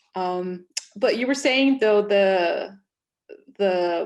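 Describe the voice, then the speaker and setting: A woman with a Spanish accent talks at a medium pitch with ordinary pitch variation. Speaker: panel moderator. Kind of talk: online panel discussion.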